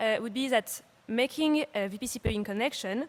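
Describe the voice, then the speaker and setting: Fairly quick speech in a French accent, with ordinary pitch variation. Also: woman. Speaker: startup CEO and conference speaker. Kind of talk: conference talk. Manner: hesitant, many fillers.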